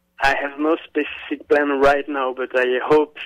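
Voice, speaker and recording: The speaker is a man with a strong French accent. His intonation is monotone and flat. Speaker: visual artist. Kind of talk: radio interview answer.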